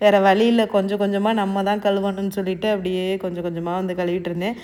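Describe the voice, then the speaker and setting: A woman at medium pitch with an ordinary speaking voice. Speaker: cooking and lifestyle vlogger. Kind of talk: vlog narration. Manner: casual conversational.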